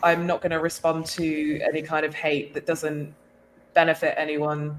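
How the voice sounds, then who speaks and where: A woman with an English accent, very deep and low in pitch, in monotone, flat intonation. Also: moderate pace. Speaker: podcast host. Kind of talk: casual chat.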